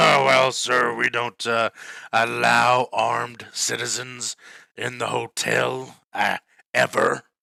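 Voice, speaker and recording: A man puts on a raspy character voice at a very slow pace. The sound is dry and close, with no echo. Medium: actual play. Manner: polite, deferential.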